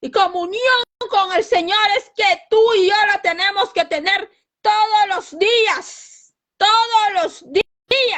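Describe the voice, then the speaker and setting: Speaking loud, a woman uses an extremely high pitch. Her pace is very slow. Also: ordinary pitch variation. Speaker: lay preacher. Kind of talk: sermon.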